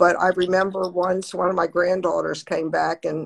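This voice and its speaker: In an American accent, a woman speaks at a moderate pace with monotone, flat intonation. The background is quiet. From US, Baltimore. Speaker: grandmother; interview guest. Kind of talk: interview. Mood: earnest, reflective. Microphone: video call.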